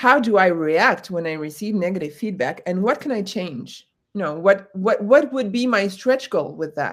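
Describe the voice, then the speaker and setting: Speaking at a moderate pace with hardly any pauses, a woman uses lively intonation in an ordinary speaking voice at medium pitch. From United States. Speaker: corporate trainer. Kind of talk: webinar discussion.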